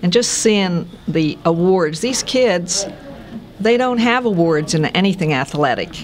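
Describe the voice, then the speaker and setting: Over noticeable background noise, a woman talks at medium pitch and a fairly slow pace. Her intonation is lively and her loudness very even. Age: 70s. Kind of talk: interview answer.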